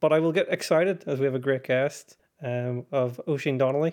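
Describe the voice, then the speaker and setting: Here a man with a Northern Irish accent speaks at a moderate pace, his medium pitch following a fairly even intonation. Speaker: podcast host. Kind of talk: casual chat. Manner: low energy.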